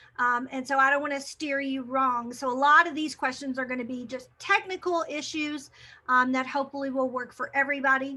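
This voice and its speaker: At a fairly quick pace, the voice is raised and projected, bright and sharp in tone, with fairly even intonation. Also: woman, high pitch for a woman. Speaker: teacher trainer. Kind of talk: webinar presentation. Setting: video call.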